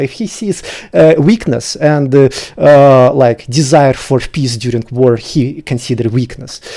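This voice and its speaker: Here a man with a Russian accent speaks at a moderate pace. His tone is dark and mellow, though his pitch is fairly high. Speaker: debater. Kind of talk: debate. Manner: halting.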